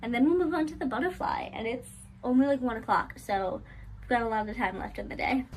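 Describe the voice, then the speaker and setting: With an American accent, a woman uses a normal speaking voice at a fairly high pitch, with ordinary pitch variation and a fairly quick pace. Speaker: crochet small business owner vlogger. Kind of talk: casual vlog narration. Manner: filler-heavy casual.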